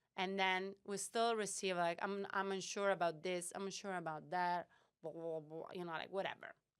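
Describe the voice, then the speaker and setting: A woman with a non-native accent speaks at a medium pitch in a monotone, flat delivery. The recording is very clean and the background silent. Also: moderate pace. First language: not English. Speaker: startup founder and CEO. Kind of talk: podcast interview. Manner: halting, many fillers.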